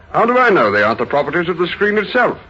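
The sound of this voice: A man's put-on character voice, fairly high-pitched and very fast, with big pitch swings, a bright, sharp tone and a slightly husky edge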